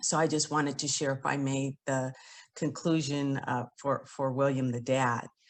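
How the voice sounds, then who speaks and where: Very deep and low-pitched, a woman with a West Coast accent talks at a fairly slow pace with fairly even intonation. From San Francisco Bay Area. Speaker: author and attorney. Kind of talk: casual chat.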